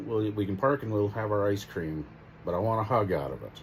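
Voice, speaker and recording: Lively intonation marks this man's voice, heard with audible room echo. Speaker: vlogger's husband. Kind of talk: casual chat. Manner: talkative.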